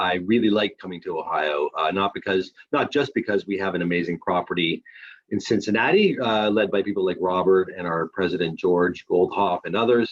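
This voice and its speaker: A man with a plain, everyday voice and a Canadian accent talks at a moderate pace with a fairly low pitch. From Canada. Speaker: responsible gambling manager at a casino company. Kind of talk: webinar presentation.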